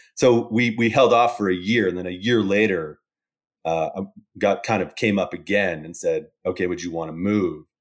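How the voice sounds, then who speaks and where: A man with a Canadian accent and an unremarkable speaking voice, fairly low in pitch with ordinary pitch variation, at a moderate pace on a very clean recording with a silent background. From Calgary, Canada. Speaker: oil and gas analytics consultant. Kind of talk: casual chat.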